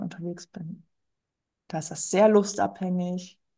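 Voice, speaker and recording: Somewhat breathy and dark, mellow in tone, the voice moves at a very slow pace. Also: woman, quiet background. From rural Germany. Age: 30s. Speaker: firefighter and amateur marathon runner. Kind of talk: interview.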